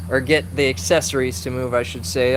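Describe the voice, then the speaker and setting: A man of medium pitch with an American accent speaks with very wide pitch swings, amid audible room echo and noticeable background noise. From Kansas. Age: 20s. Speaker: live streamer. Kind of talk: casual live stream chat. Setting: garage workshop bay. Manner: casual, swearing, filler-heavy.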